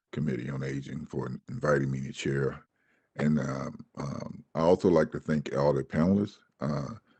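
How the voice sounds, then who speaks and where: A man talks in an American accent. Vocal fry runs through his voice. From Georgia, US South. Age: 60s. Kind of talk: testimony. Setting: Senate committee hearing. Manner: halting, many fillers and repeats.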